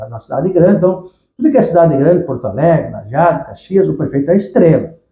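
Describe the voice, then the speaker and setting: A man with a high pitch and lively intonation talks at a very fast pace. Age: 60s. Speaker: businessman. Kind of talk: interview storytelling. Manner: halting, with repetitions.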